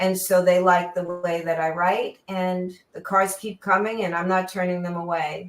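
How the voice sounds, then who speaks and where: A woman with an American accent at medium pitch, monotone and flat, at a moderate pace with hardly any pauses. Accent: New York accent, comes out now and then. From New York. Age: 70s. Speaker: auto journalist. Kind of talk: interview chat.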